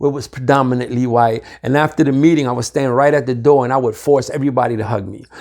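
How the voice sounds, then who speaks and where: Against a quiet background, a man with a New York accent speaks at medium pitch with ordinary pitch variation. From Harlem, New York. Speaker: recovery community leader. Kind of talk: interview answer. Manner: casual, halting.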